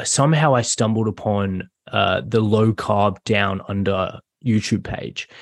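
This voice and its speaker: A man with an Australian accent speaks at a fairly slow pace and a fairly low pitch, with ordinary pitch variation. The sound is dry and close with no echo, over a quiet background. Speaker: general practice doctor. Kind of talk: interview.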